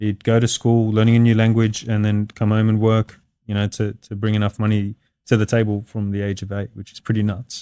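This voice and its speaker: A man with an Australian accent speaks fairly quickly in a fairly low, dark, mellow voice with monotone, flat intonation, and the sound is dry and close with no echo. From Australia (Sydney), Lebanese heritage. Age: 30s. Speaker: construction business owner. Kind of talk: podcast interview. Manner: hesitant, many fillers.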